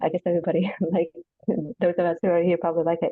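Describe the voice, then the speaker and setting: A woman with an Arabic accent speaks at a medium pitch. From Iraq. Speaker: Arabic teacher, language student. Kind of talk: class introduction.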